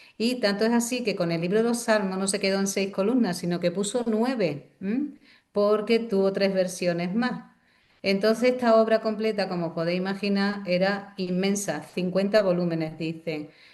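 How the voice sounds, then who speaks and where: Using a normal speaking voice, a woman keeps a medium pitch and moderate pace, with ordinary pitch variation. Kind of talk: lecture.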